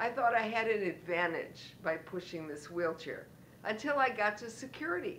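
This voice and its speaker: A woman with a fairly high pitch and lively intonation speaks at a moderate pace amid audible room echo. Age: 60s. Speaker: retiree turned entrepreneur, motivational speaker. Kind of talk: motivational talk with personal story.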